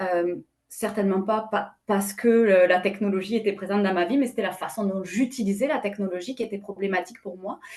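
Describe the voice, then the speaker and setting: A woman with a slight southwestern French accent and fairly even intonation. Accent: slight southwest French. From southwest France. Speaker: company president, panelist. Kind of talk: webinar panel discussion. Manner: many hesitations and fillers.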